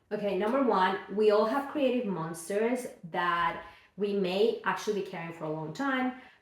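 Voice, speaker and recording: Audible room echo and noticeable background noise surround a woman whose speech has ordinary pitch variation. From Mexico (Guadalajara). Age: 40s. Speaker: children's book author and illustrator. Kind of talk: casual vlog reflection. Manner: casual with many fillers.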